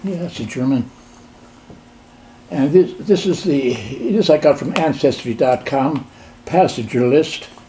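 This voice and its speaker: Amid noticeable background noise, a man with an American accent and a fairly high pitch speaks at a fairly slow pace with lively intonation and long, frequent pauses. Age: 80s+. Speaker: amateur genealogist. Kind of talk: casual conversation with family.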